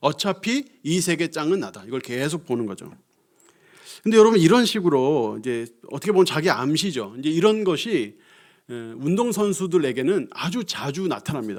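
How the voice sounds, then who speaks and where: In a very clean recording with a silent background, a man talks at a moderate pace. His pitch is fairly high and swings very widely. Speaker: pastor. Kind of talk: sermon. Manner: conversational.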